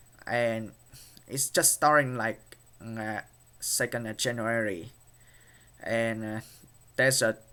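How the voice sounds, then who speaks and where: A man speaks very slowly in a Vietnamese accent. His tone is bright and sharp. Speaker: YouTuber. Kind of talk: vlog commentary. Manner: halting, many fillers.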